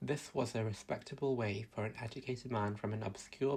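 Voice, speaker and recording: A man speaks at a moderate pace with a somewhat breathy voice, medium pitch and ordinary pitch variation. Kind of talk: soothing sleep-time book reading. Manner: soft-spoken, gentle, calming.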